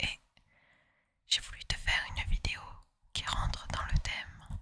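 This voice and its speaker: A woman whispering. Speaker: ASMR artist. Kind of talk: casual intro to listener. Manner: whispered.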